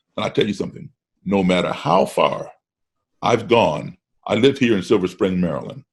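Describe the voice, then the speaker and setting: Speaking at a moderate pace with an American accent, a man leaves long, frequent pauses. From grew up partly in Africa and Europe, US-based. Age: 60s. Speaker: musician. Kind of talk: casual chat. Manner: repeats words when starting sentences.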